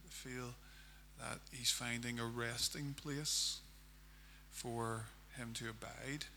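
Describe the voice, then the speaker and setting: A man speaks with a Northern Irish accent. Audible room echo surrounds his voice. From Northern Ireland, County Armagh. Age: 40s. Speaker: pastor. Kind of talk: sermon.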